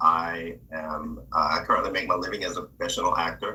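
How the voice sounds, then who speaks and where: Noticeable background noise sits behind a man who talks fairly quickly. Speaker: professional actor and singer. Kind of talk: casual self-introduction.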